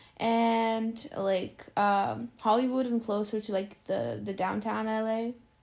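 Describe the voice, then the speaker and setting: This woman's voice has a dark, mellow tone and a fairly high pitch. Her intonation stays fairly even. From Ukraine, Dnipro. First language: Russian. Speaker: immigrant interviewee. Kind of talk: casual interview. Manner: hesitant, filler-heavy.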